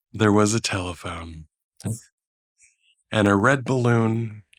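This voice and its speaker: Long, frequent pauses mark a man's quiet, fairly slow speech at a fairly low pitch with ordinary pitch variation, on a very clean recording with a silent background. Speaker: streamer. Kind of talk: reading aloud; casual chat. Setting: livestream.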